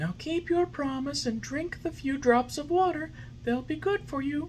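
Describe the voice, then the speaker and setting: With clear background noise, a man does a put-on character voice at an extremely high pitch for a man and a moderate pace. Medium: read story. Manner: gentle, patient, motherly.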